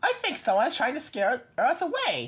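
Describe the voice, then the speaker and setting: A woman puts on a squeaky character voice, pitched high, with very wide swings in pitch and a moderate pace. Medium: read story. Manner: calm, reassuring.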